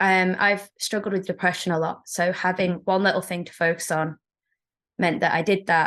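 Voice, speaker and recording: A woman with an English accent speaks at medium pitch and a moderate pace. Her intonation is fairly even, and the background is quiet. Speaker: secondary school teacher. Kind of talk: interview.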